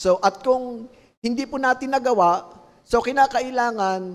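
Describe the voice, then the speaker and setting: This man talks fairly slowly. The rise and fall of his pitch is ordinary. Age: 50s. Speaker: pastor. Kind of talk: sermon. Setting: livestream. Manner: halting.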